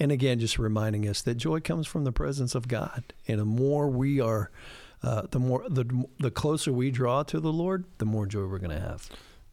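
A man speaks at medium pitch and a moderate pace, his tone dark and mellow. The recording is very clean, with a silent background. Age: 50s. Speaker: pastor. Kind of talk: casual chat.

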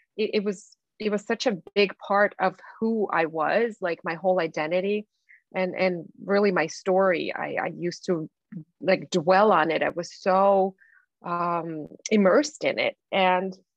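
A woman speaks with a Russian accent. Her pitch is medium and her pace fairly slow. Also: ordinary pitch variation. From Belarus. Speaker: life coach. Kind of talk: interview.

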